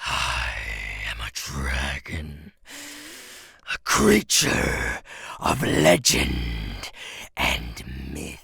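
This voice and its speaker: Using a put-on character voice, a man speaks raspy and very deep and low at a very slow pace, with long, frequent pauses. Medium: dub.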